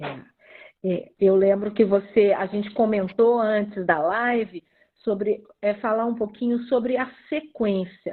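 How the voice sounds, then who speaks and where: A woman's ordinary speaking voice, fairly high-pitched, at a fairly slow pace with ordinary pitch variation. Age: 60s. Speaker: psychologist. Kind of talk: casual chat. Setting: livestream, audio only.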